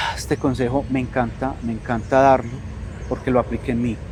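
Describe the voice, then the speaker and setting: A man's calm tone over noticeable background noise. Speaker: coach and teacher. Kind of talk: interview conversation. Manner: soft-spoken.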